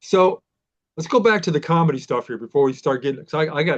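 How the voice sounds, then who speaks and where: Lively in intonation, a man talks at a fairly quick pace with a fairly high pitch. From Pennsylvania. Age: 60s. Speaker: podcast host. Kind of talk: interview.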